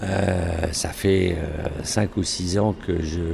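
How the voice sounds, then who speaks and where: Noticeable background noise sits behind a man talking at a very slow pace, with a very deep, low pitch and fairly even intonation. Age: 60s. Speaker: event organizer. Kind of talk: interview. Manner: hesitant, many filler sounds.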